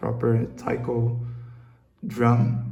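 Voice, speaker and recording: In a Brazilian accent, the speaker comes through with audible room echo and noticeable background noise. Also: man. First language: Portuguese. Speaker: hobbyist maker, channel owner. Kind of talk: casual video vlog, tutorial-like. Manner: halting, with many fillers and repetitions.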